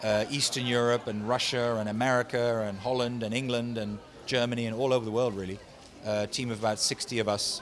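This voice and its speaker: Against noticeable background noise, a man speaks at a very fast pace in a medium pitch, with monotone, flat intonation. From Netherlands. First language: Dutch. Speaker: voice actor and animation director. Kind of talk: casual interview. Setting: convention.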